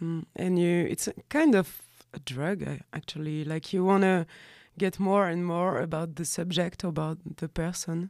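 A woman with a French accent and fairly low pitch, at a moderate pace with fairly even intonation, on a very clean recording with a silent background. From France. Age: 30s. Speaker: graphic designer and fanzine maker. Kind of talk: casual interview chat. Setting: radio studio, live recording.

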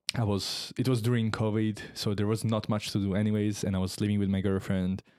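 A man with an Italian accent, fairly low in pitch, with a dark, mellow tone, moderate pace and ordinary pitch variation, in a dry, close sound with no echo and a very clean recording with a silent background. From Italy. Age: 20s. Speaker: student. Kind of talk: casual conversation. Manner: hesitant, many filler words.

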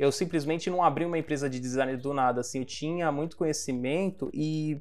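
Using a normal speaking voice, a man talks at a fairly quick pace and fairly high pitch with ordinary pitch variation. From Brazil, Baixada Santista (Guarujá, São Paulo coast). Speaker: design company CEO. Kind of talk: casual interview.

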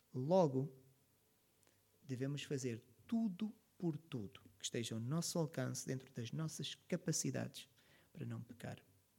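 With a European Portuguese accent, a man speaks at a fairly slow pace with long, frequent pauses in a dark, mellow, somewhat breathy tone and lively intonation, in a very clean recording with a silent background. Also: medium pitch for a man. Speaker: pastor. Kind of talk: sermon.

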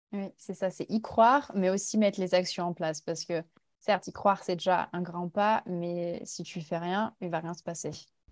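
Captured in a very clean recording with a silent background and a dry, close sound free of echo, a woman with an unremarkable speaking voice talks at a moderate pace and medium pitch with fairly even intonation. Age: 20s. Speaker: Instagram content creator. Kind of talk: interview.

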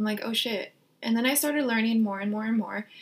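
Amid noticeable background noise, a woman with a fairly high pitch talks at a fairly quick pace. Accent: American. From Orange County, California. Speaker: podcast co-host and student. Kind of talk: casual chat.

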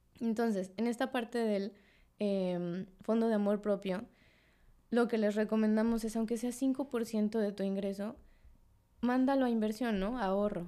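On a very clean recording with a silent background, a woman with a dark, mellow tone and a fairly high pitch speaks at a fairly slow pace, her loudness very even and her intonation fairly even. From Mexico City. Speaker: personal finance teacher. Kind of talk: casual interview chat.

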